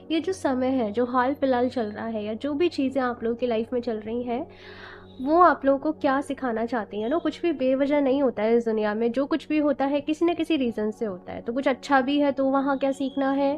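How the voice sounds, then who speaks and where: With music in the background, a woman speaks at a high pitch and a moderate pace. Her pitch variation is ordinary, and she hardly pauses. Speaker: tarot card reader. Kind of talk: tarot reading to camera. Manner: casual Hindi-English code-switching.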